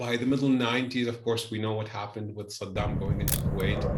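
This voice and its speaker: Delivered at a fairly quick pace in a monotone, flat intonation, the speech comes with noticeable background noise and audible room echo. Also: man. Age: 60s. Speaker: environmentalist and engineer. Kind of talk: interview. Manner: halting, with many repetitions.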